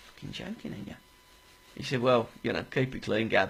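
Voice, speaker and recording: A man speaks at a medium pitch with ordinary pitch variation. His somewhat breathy voice moves at a moderate pace. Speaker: radio co-host. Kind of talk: casual chat. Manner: animated.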